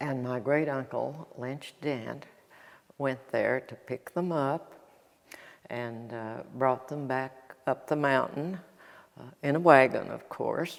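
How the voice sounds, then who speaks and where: With an Appalachian accent, a woman speaks at a very slow pace in a very deep, low pitch, her intonation fairly even but her loudness swinging widely. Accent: Appalachian Southern US. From North Carolina, Ashe County. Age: 90s. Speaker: local elder. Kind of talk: oral history interview. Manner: halting.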